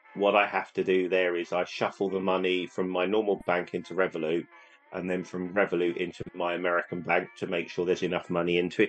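Over noticeable background noise, a man with a very deep, low pitch speaks at a very fast pace in a monotone, flat intonation. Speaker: travel agent and Disney podcaster. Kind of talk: casual chat.

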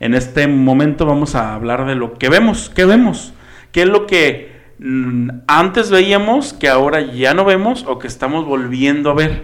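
Speaking at a fairly slow pace, a man with a fairly high pitch uses lively intonation in a room with audible echo. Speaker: podcast co-host. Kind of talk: casual chat.

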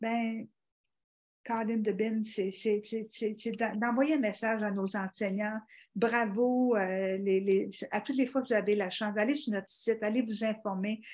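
A woman's normal speaking voice, fairly high in pitch, fairly slow, with fairly even intonation. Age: 60s. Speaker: organ donation advocate and teacher. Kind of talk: interview.

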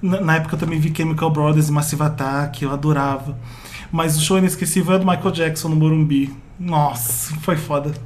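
Noticeable background noise sits behind a man with a fairly high pitch, speaking at a moderate pace. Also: fairly even intonation. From Brazil, Pará. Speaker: podcast host, pop culture site owner. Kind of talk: casual chat.

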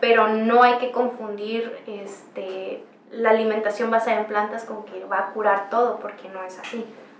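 With hardly any pauses, a woman speaks in a fairly high, flat, monotone voice, with audible room echo and noticeable background noise. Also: moderate pace. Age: 20s. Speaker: medical intern and yoga teacher. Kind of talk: interview.

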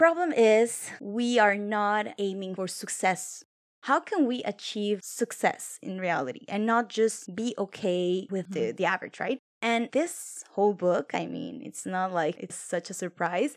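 On a very clean recording with a silent background, a woman with a strong non-native accent speaks at a medium pitch and a fairly slow pace, with hardly any pauses and lively intonation. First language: Spanish or French. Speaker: podcast co-host. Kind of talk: casual chat.

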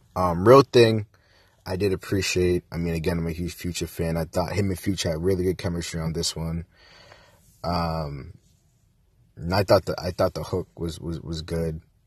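Very deep and low, somewhat breathy, a man's voice moves at a moderate pace with long, frequent pauses, the sound dry and close with no echo over a quiet background. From Jamaican-American household, US. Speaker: podcast host. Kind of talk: casual monologue and album review. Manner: casual, many fillers.

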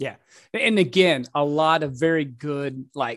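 This man has a normal speaking voice, fairly high in pitch, with fairly even intonation. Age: 40s. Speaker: podcast host. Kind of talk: casual interview chat.

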